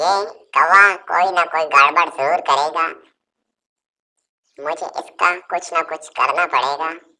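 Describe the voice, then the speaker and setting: A cartoonish character voice at a middle pitch, fairly slow, with long, frequent pauses. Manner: imperious.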